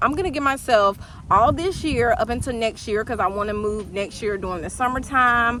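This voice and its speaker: A woman's high-pitched voice competes with noticeable background noise. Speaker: vlogger. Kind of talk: casual chat. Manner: casual, filler-heavy.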